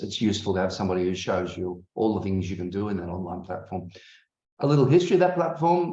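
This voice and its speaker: A man with an Australian accent, lively intonation and a dark, mellow tone. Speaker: academic and conference host. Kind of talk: online conference welcome. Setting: video call. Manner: hesitant, many fillers.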